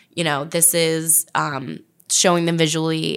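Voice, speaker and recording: Very deep, low-pitched woman's voice with vocal fry at a fairly slow pace, on a very clean recording with a silent background. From New Jersey. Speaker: food blogger. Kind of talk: casual chat. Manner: casual, friendly.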